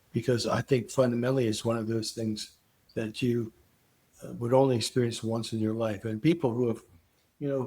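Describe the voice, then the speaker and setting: At a moderate pace, a man with a medium pitch and fairly even intonation sounds somewhat breathy. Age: 80s+. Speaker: psychedelic research scientist. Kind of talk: interview. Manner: halting.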